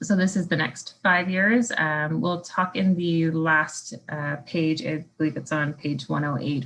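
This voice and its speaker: A woman's very deep, low voice with vocal fry, fairly slow pace, hardly any pauses and ordinary pitch variation. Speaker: municipal staff presenter. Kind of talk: staff presentation at council meeting.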